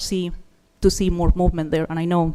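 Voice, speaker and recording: A woman's dark, mellow voice with a non-native accent. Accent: foreign. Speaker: resident giving public comment. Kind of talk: public comment at city meeting.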